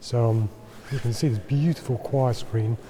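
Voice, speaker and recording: Here a man is soft-spoken. His intonation is fairly even. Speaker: travel photographer. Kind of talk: vlog tutorial. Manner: quiet, speaking softly.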